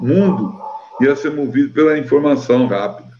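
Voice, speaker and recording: This man's voice sits fairly high in pitch. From Brazil, Cáceres, Mato Grosso. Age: 60s. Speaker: musician and researcher. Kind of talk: interview.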